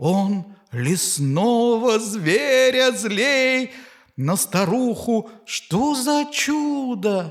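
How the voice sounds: The delivery is a natural reading voice. Its intonation is lively.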